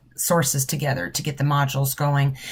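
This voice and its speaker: Fairly quick, somewhat breathy speech from a woman. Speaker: nursing professor. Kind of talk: informal instructional video. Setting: office.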